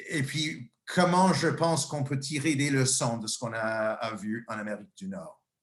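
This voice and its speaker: A man's fairly high, somewhat breathy voice at a fairly slow pace, with lively intonation and audible room echo. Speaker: nursing professor and researcher. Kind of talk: lecture. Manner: halting, many fillers and repetitions.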